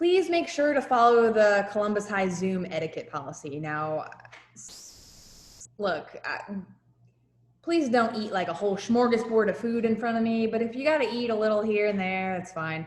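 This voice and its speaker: A woman with a slight New Jersey accent speaks at a moderate pace in a fairly high pitch. Her pitch swings very widely, and room echo is audible. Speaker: high school teacher. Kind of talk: lecture. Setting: video call. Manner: animated.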